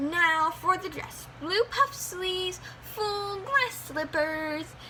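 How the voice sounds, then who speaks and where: Doing a squeaky put-on character voice at an extremely high pitch, a woman speaks at a very slow pace over clear background noise. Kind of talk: bedtime story. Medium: read story. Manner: warm, brisk.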